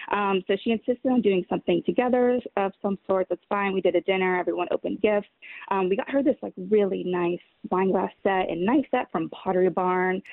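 A woman speaks at a fairly quick pace in a medium pitch with ordinary pitch variation and an unremarkable speaking voice. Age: 20s. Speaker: caller. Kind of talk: casual chat. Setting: outdoors.

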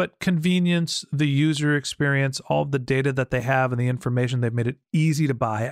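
An ordinary speaking voice from a man, medium in pitch with fairly even intonation, fairly quick in pace, in a dry, close sound with no echo. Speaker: podcast host. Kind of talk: interview conversation.

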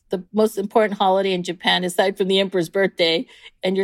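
A woman with an American accent and an unremarkable speaking voice talks at medium pitch with fairly even intonation, recorded very cleanly against a silent background with a dry, close sound and no echo. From San Diego, California. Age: 50s. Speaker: cooking school owner. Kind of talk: interview.

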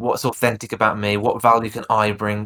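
A man with a Birmingham accent and a bright, sharp tone speaks at a moderate pace on a very clean recording with a silent background. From Birmingham, England. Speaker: speaking coach. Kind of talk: podcast interview.

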